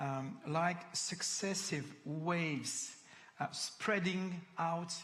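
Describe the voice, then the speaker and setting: With a French accent and ordinary pitch variation, a man talks in a room with audible echo. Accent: French, noticeable. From France. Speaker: preacher. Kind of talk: sermon. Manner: halting.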